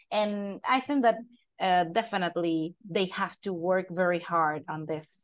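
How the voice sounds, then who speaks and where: In a Costa Rican accent, a woman speaks fairly slowly at a medium pitch with ordinary pitch variation. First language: Spanish. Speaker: podcast host and English teacher. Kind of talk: casual interview.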